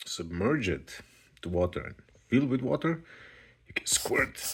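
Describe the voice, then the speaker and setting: A man speaks at medium pitch and a very slow pace. His pitch swings very widely. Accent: non-native. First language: not English. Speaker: hobby video maker showing household items. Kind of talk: casual unboxing demonstration. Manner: halting, many fillers.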